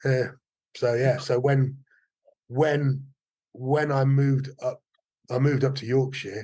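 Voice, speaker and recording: A man with a medium pitch speaks at a fairly slow pace, his intonation monotone and flat. His voice is somewhat breathy, with long, frequent pauses. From Wales, Cardiff and Forest of Dean. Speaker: martial arts teacher. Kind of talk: casual interview chat. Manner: halting, many repetitions.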